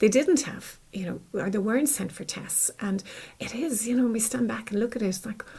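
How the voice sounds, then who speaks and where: A woman with an Irish accent and fairly high pitch speaks at a fairly quick pace with ordinary pitch variation. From Ireland. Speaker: clinical psychologist. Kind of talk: interview.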